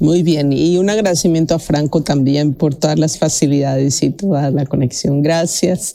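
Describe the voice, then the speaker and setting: A woman's very deep, low voice at a moderate pace, with very even loudness, ordinary pitch variation and hardly any pauses. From Mexico. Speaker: researcher and radio presenter. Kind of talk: interview.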